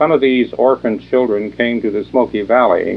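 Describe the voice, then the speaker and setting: Speaking at a moderate pace, a man with an ordinary speaking voice shows ordinary pitch variation. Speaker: college speech faculty and oral history director. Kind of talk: documentary introduction narration.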